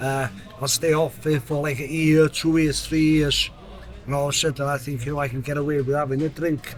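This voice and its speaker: A man's fairly high, monotone voice at a fairly quick pace, with flat intonation and noticeable background noise. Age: 60s. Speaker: prisoner in recovery. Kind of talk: casual chat.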